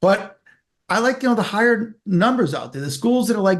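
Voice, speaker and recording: Against a quiet background, a man talks very fast with an animated tone and lively intonation. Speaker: author and career speaker. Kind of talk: interview conversation. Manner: mumbling.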